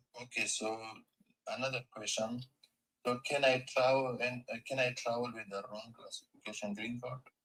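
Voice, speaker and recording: In an Afghan accent, a man speaks at a moderate pace and medium pitch with monotone, flat intonation. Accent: Afghan Persian. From Afghanistan. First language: Persian. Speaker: caller. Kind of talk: asking questions on a live call. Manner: halting.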